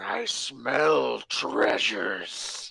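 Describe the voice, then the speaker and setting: A raspy, rumbling put-on character voice at a very deep, low pitch. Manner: greedy.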